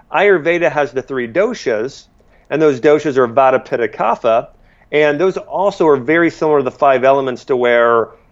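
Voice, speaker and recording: At a moderate pace, a man talks at a fairly high pitch with ordinary pitch variation. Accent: American. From Ohio, US Midwest. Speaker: natural medicine doctor, clinical nutritionist. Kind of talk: interview, casual chat. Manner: hesitant, many fillers and repetitions.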